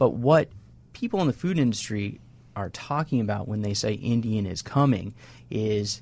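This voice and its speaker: A man speaks with an American accent, sounding somewhat breathy. The recording is very clean, with a silent background. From Wisconsin, US Midwest. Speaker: journalist and author. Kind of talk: radio panel discussion.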